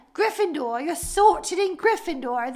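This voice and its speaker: Using a put-on character voice with a British accent as part of the act, a woman speaks at an extremely high pitch. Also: moderate pace. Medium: comedy sketch. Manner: formal, welcoming.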